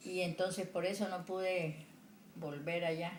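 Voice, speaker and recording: Audible room echo and noticeable background noise fill the clip. A woman speaks at a fairly low pitch. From Colombian Pacific coast, El Charco, Nariño. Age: 70s. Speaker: retired secretary and homemaker. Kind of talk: interview. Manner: halting.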